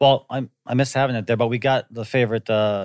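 This man talks at a moderate pace with a medium pitch and fairly even intonation, in a normal speaking voice. The sound is dry and close, with no echo. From US Midwest (Wisconsin), partly Hawaii. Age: 40s. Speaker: actor. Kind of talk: casual chat.

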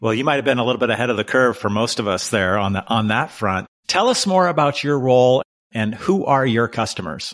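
A man talks at a fairly quick pace with hardly any pauses, in a plain, everyday voice of medium pitch. The recording is very clean, with a silent background. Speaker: podcast host. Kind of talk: interview.

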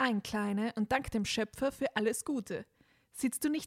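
Pitch variation here is ordinary. The voice is a natural reading one.

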